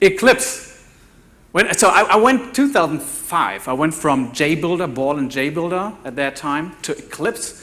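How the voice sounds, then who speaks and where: With a German accent, a man speaks at a moderate pace in a bright, sharp tone and lively intonation. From Germany. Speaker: developer evangelist, conference speaker. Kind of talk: conference talk. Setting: conference stage with audience. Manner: halting, many fillers and repeats.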